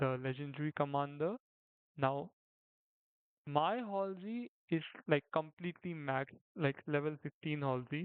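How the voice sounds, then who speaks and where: A man with a non-native accent talks at a fairly slow pace and a fairly high pitch, leaving long, frequent pauses. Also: ordinary pitch variation. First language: not English. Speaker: gaming commentator. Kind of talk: gameplay commentary. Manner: halting; casual. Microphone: poor audio quality, rudimentary setup.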